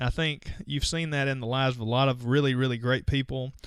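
On a very clean recording with a silent background, a man with a plain, everyday voice speaks at a medium pitch and a fairly quick pace. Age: 40s. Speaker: podcast host, dentist. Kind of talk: solo podcast monologue. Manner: casual, conversational.

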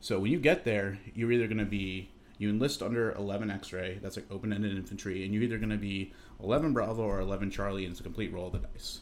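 A man with an American accent speaks very fast in a fairly low pitch, his intonation fairly even, with audible echo from the room. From Massachusetts, Chicopee. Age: 30s. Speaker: Coast Guard storekeeper, former Army infantryman. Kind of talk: casual interview over drinks. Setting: at his home.

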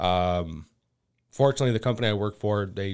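A man uses a plain, everyday voice with an American accent, fairly low pitch and fairly even intonation. He keeps a moderate pace on a very clean recording with a silent background. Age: 30s. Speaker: agricultural sales manager and maple syrup producer. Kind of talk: casual interview.

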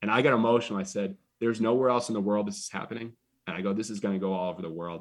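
The recording is very clean and the background silent. A man talks at a fairly low pitch. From Massachusetts. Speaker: baseball team owner. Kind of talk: interview. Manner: energetic.

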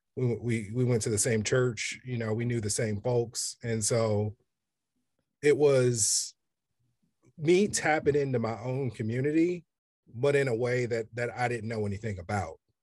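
With an American accent, a man speaks at medium pitch and a moderate pace, somewhat breathy, with ordinary pitch variation. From Kansas City, Kansas, US Midwest. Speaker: photographer. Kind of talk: interview. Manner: hesitant, with fillers.

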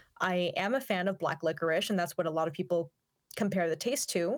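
A woman speaks in a plain, everyday voice at a medium pitch, with ordinary pitch variation and a moderate pace. The recording is very clean, with a silent background. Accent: American. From US Pacific Northwest, Yakima Valley, Washington. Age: 20s. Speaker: opera singer and YouTuber. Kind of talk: interview. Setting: studio.

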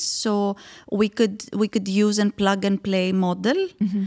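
A woman speaks at a fairly slow pace with a Greek accent, her pitch medium. The sound is dry and close with no echo, in a very clean recording over a silent background. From Greece. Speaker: startup founder. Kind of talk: interview.

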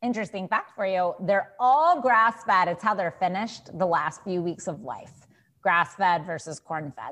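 A woman at a medium pitch uses a normal speaking voice, talking at a moderate pace with lively intonation. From Texas. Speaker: dietitian. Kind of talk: interview.

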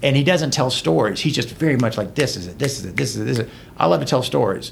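In an American accent, a man talks at a medium pitch with vocal fry, and the room echo is audible. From Georgia, US South (LaGrange). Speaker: trial lawyer. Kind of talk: casual chat.

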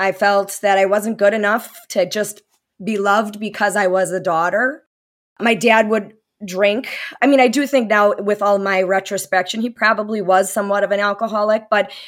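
Delivered at a moderate pace, this is an ordinary speaking voice with fairly even intonation. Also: woman, medium pitch for a woman. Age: 40s. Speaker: spouse of recovering addict. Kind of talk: interview testimony.

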